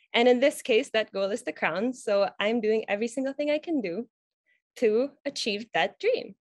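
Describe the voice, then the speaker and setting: Lively intonation comes at a moderate pace in a dry recording with no echo and a quiet background. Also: woman, fairly high pitch for a woman. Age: 20s. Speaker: beauty pageant candidate. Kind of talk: interview. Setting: video call. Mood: warm, earnest, smiling. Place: home room. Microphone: video call.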